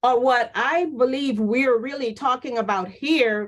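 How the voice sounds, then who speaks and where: A high-pitched woman's voice at a fairly slow pace. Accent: American. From US South (New Orleans). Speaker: nursing professor. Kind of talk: panel discussion. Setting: webinar.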